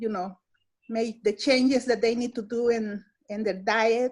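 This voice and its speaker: In a Spanish accent, a woman speaks with ordinary pitch variation. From El Salvador. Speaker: nutrition educator. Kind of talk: staff meeting self-introduction. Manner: halting, many fillers and repetitions.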